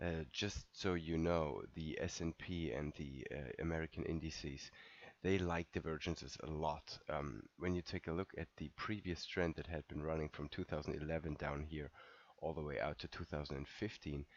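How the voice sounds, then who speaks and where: With vocal fry and a very deep, low pitch, a man speaks at a moderate pace and fairly even intonation. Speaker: market analyst. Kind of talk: market recap. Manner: casual, with fillers.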